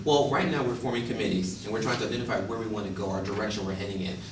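Recorded with noticeable background noise and audible room echo, a man speaks at a fairly low pitch with ordinary pitch variation. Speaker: presenter. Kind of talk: role-play interview then workshop discussion. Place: classroom. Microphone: camera far.

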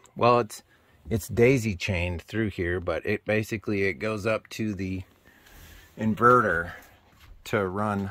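Keeping a fairly even intonation, a man talks at a fairly slow pace. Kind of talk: casual tour commentary. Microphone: phone near.

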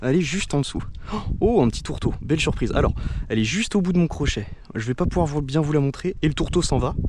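Lively intonation from a man at a very fast pace. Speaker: fishing video creator. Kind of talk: outdoor vlog narration. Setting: outdoors on a beach at low tide. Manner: casual, hesitant with fillers.

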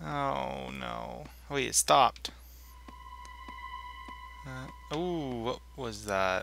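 With big swings in loudness and long, frequent pauses, a man speaks very slowly over noticeable background noise. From Canada. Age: 20s. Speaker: gamer. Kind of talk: let's play commentary.

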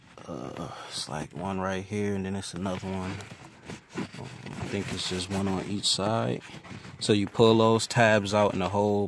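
A man's fairly slow speech, dry with no echo, ordinary pitch variation, and noticeable background noise. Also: fairly low pitch for a man. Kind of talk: casual how-to tutorial. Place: car. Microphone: phone near.

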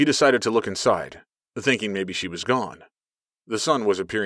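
Against a quiet background, the reading comes in an unforced voice.

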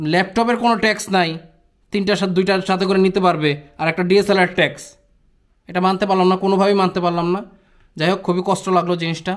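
A man with a high pitch speaks in a monotone, flat intonation at very even loudness. The background is quiet. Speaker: travel vlogger. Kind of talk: casual vlog chat. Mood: frustrated, complaining. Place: home room.

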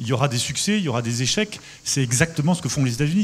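A man at a very fast pace with lively intonation, over light background noise. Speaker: industrial company executive; panelist. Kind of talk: panel discussion. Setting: stage with audience. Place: stage. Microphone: handheld.

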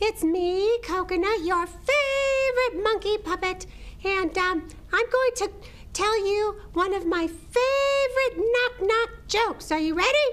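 A cartoonish character voice with an extremely high pitch. It moves at a fairly slow pace. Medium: puppet show. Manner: bouncy, jokey.

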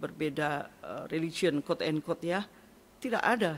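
A woman speaks at a moderate pace with ordinary pitch variation. Light background noise is present. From East Java, Indonesia. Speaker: pastor. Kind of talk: testimony. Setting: studio. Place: studio. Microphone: studio mic.

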